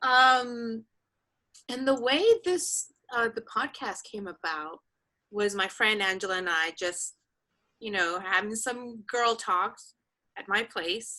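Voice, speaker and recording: At a very slow pace, a woman speaks with a fairly high pitch, a bright, sharp tone and lively intonation, leaving long, frequent pauses. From Dominican Republic. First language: Spanish. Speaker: actress and producer. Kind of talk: casual chat. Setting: video call.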